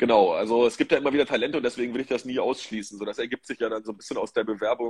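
A man talks at a very fast pace with hardly any pauses, in a dry, close sound with no echo. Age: 40s. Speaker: managing director of a sports marketing agency. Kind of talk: interview. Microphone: phone.

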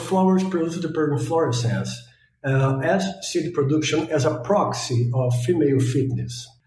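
In a room with audible echo, a man with a Brazilian accent talks at a fairly quick pace, with ordinary pitch variation and very even loudness. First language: Portuguese. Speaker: postdoctoral biologist. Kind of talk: interview, scientific explanation.

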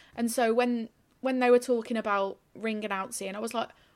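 Moderate in pace, this is a plain, everyday voice. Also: woman. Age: 30s. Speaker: journalist and ring announcer. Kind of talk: casual interview chat.

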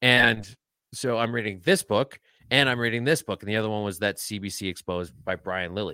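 A man with a fairly low pitch and a bright, sharp tone speaks at a fairly quick pace. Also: ordinary pitch variation, dry, close sound with no echo. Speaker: podcaster and tweeter. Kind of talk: casual interview chat. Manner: joking, sarcastic.

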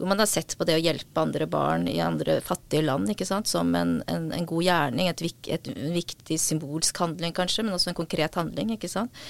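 The sound is dry and close with no echo as a woman speaks at a moderate pace with hardly any pauses. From Norway, adopted from South Korea as a child. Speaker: author and psychiatric nurse. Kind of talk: interview conversation. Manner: halting.

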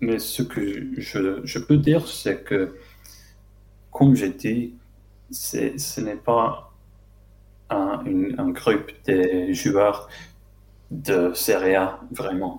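Speaking at a very slow pace, a man talks in an English accent. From London, England. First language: English (speaking French). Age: 20s. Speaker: football fan and club social media account runner. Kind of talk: casual chat. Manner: halting.

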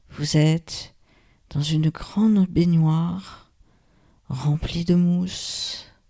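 In a soothing, calm tone that is dark, mellow and somewhat breathy, a woman with a fairly low pitch speaks at a very slow pace with long, frequent pauses and fairly even intonation. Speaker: yoga nidra guide. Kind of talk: guided meditation. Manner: slow, soothing, calm, with long pauses; soft, gentle, hushed.

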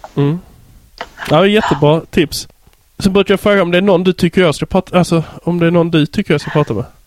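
In a Scanian accent, the speech runs at a very fast pace broken by long, frequent pauses, with fairly even intonation and a dry, close sound with no echo over noticeable background noise. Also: man, high pitch for a man. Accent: Skåne dialect. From southern Sweden (Skåne). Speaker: podcast host. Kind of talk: casual interview chat. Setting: Skype call.

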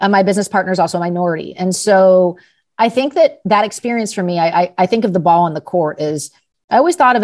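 A woman with an American accent talks at a very fast pace with lively intonation. The background is quiet. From Los Angeles, California. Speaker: startup founder and CEO. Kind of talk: interview conversation.

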